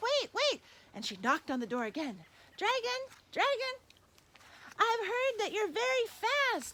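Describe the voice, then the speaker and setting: Doing a put-on character voice at an extremely high pitch, a woman speaks at a moderate pace with lively intonation and long, frequent pauses. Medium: read story.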